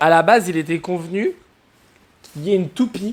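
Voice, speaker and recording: A man's voice, high in pitch, moves at a moderate pace. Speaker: DIY renovation vlogger. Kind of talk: casual vlog narration. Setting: outdoors on building site.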